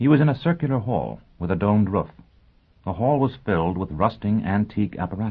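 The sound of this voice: Lively intonation in an unforced reading voice.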